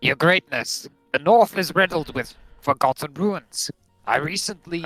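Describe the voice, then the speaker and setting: Putting on a gruff character voice, a man speaks at a moderate pace in a high pitch while music plays in the background. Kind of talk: comic game role-play. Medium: game stream.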